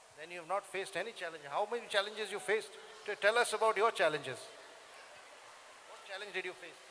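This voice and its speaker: In a raised, projected voice, a high-pitched man talks at a very fast pace with big swings in loudness and long, frequent pauses. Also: ordinary pitch variation. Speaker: sitar player. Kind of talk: Q&A with school students. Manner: playful, animated.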